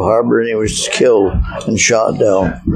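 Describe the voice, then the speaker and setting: Noticeable background noise sits behind a man with a Canadian accent. He speaks at a fairly slow pace. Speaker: hardware store owner, storyteller. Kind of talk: interview answer, reminiscing. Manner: casual, hesitant.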